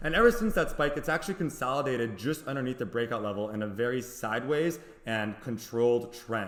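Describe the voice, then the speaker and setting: Over noticeable background noise, a man talks at a fairly quick pace. His pitch is medium, with ordinary pitch variation. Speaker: stock trader. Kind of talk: tutorial. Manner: fast.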